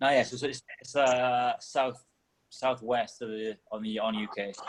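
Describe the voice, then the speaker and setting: A man of medium pitch talks at a fairly slow pace in a monotone, flat intonation. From Wales. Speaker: CrossFit athlete. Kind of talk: casual interview.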